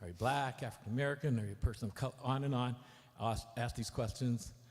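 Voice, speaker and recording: The man's voice comes across as somewhat breathy. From Korea. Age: 60s. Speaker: audience member asking a question. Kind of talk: audience question at a lecture Q&A. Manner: halting, with many fillers.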